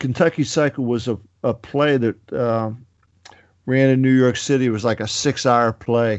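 A man with an American accent speaks in a medium pitch. His pace is moderate and his pitch variation ordinary. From western Pennsylvania, Pittsburgh area. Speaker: rock musician. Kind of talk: interview. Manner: halting, many fillers.

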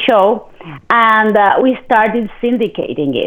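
A woman with a Spanish accent, at a fairly slow pace. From Argentina. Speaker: TV host and media entrepreneur. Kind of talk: interview. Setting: live video webcast.

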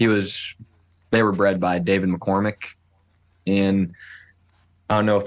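In a very clean recording with a silent background, the speaker talks with an American accent in a monotone, flat intonation. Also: man. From Iowa. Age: 20s. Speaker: bird dog trialer and hunter. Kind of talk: podcast interview.

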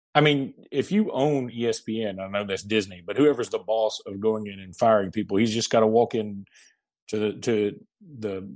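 At a moderate pace, a man with a slight Southern US accent speaks in a medium pitch with ordinary pitch variation, recorded very cleanly against a silent background. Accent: Southern US accent, mild. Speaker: sports podcast host. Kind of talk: casual chat.

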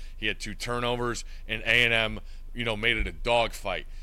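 Audible room echo follows a man talking at a fairly quick pace. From Connecticut. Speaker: college football analyst. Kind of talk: casual chat.

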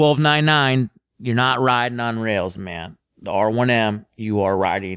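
With an American accent, a man in a normal speaking voice talks at a fairly slow pace, at medium pitch with ordinary pitch variation, on a very clean recording with a silent background. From Minnesota, US Midwest. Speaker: motorcycle journalist. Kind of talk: casual chat.

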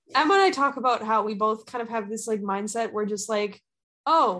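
A woman with a normal speaking voice and an American accent, fairly high in pitch with ordinary pitch variation, at a fairly quick pace over a quiet background. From US Midwest. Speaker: podcast host. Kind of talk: casual chat.

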